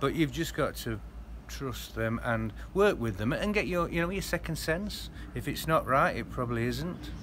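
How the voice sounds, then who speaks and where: Over light background noise, a man keeps up a moderate pace. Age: 50s. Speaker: expat interviewee. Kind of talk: casual interview. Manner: halting, repetitive. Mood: reflective, mildly rueful. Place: garden. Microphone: phone near.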